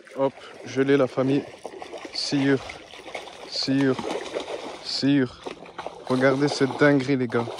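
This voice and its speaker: A man speaks at a very slow pace in a monotone, flat intonation, with long, frequent pauses. Noticeable background noise runs beneath him. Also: medium pitch for a man. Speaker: angler. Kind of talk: live commentary while fishing. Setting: outdoors.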